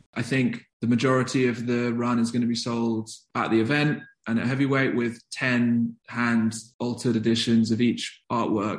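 A man with a southern English accent speaks at a moderate pace and medium pitch, his loudness very even and his intonation monotone and flat. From southern England, London commuter belt. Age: 20s. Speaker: skateboarder and writer. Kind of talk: interview conversation.

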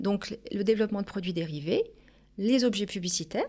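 This woman has an unremarkable speaking voice at medium pitch with lively intonation. The recording is very clean, with a silent background. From Paris region, Portuguese family. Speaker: business owner. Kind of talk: interview.

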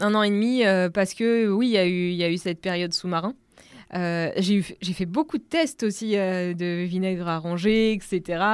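In a very clean recording with a silent background, a woman of medium pitch speaks fairly slowly with ordinary pitch variation. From Normandy, France. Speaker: entrepreneur. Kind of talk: casual chat. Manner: animated.

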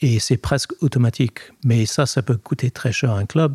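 A man talks at a moderate pace in a dark, mellow, somewhat breathy voice. The sound is dry and close, with no echo. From Scotland. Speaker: sports lawyer. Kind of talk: interview. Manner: hesitant, many fillers.

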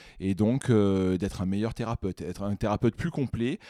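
A dark, mellow voice moves at a moderate pace with ordinary pitch variation. The recording is very clean, dry and close, with a silent background and no echo. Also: man. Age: 30s. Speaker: physiotherapist and osteopath. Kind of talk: casual interview.

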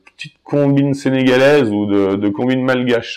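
A man at a moderate pace and medium pitch with ordinary pitch variation, on a very clean recording with a silent background. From Haute-Savoie, France (Genevois border area). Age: 30s. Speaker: dairy farmer. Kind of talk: casual interview. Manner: hesitant, many fillers.

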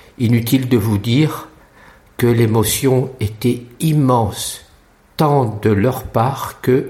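Speaking at a very slow pace, a man has a somewhat breathy voice with a dark, mellow tone and ordinary pitch variation. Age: 60s. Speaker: blind guide dog user. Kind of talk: recorded voice memo diary.

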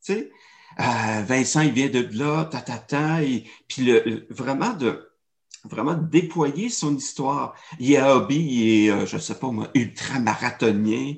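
A man talks at a very slow pace with ordinary pitch variation over a quiet background. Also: medium pitch for a man. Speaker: storytelling and marketing consultant. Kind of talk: interview. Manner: animated.

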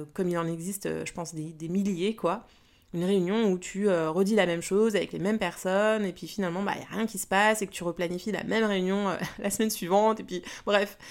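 This very clean recording has a silent background. A woman speaks at a medium pitch and a fairly quick pace, with fairly even intonation. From Paris region, France. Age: 40s. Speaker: business coach and podcaster. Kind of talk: casual monologue. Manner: hesitant with fillers; spontaneous, unscripted.

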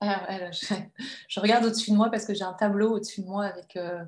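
At a fairly quick pace, a woman talks at medium pitch in a monotone, flat way. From France, Annecy (Haute-Savoie). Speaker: novelist and writing teacher. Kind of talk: interview. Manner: hesitant, many fillers and repetitions.

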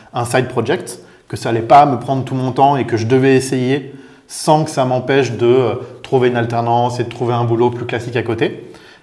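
A man's medium-pitched, monotone, flat voice over noticeable background noise. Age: 30s. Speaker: business executive. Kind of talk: interview.

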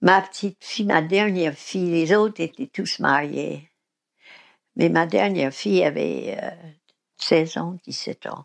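A woman talks at a very slow pace, leaving long, frequent pauses. Behind her the background is quiet. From US South, Mississippi. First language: English (speaking French). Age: 80s+. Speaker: recovering alcoholic sharing her story. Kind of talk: testimony. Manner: halting.

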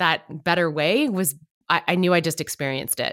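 A woman's ordinary speaking voice, medium in pitch, at a moderate pace. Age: 40s. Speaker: event organizer and conference program director. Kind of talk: interview conversation.

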